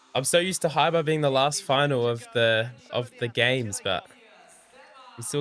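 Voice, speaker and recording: With music in the background, a man in a New Zealand accent talks at a moderate pace with a medium pitch and ordinary pitch variation. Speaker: gymnastics commentator and streamer. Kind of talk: live watch-along commentary. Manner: mumbling.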